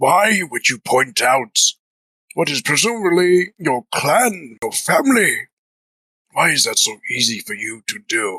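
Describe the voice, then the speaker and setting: A man puts on a character voice, high-pitched with very wide pitch swings, at a fairly slow pace. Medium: actual play. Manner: measured, musing.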